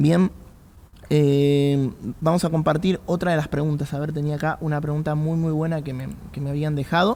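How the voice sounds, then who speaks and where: A man speaks in an Argentine accent with a dark, mellow tone. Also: fairly high pitch for a man, fairly even intonation, moderate pace. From Argentina. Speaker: pastor. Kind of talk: podcast talk on faith and politics.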